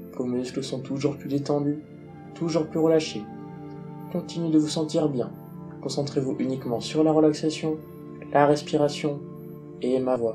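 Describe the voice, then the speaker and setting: Over music in the background, a man speaks at a fairly high pitch with a soothing tone. His intonation is fairly even, with long, frequent pauses. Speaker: hypnosis guide. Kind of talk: guided relaxation. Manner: slow, soothing.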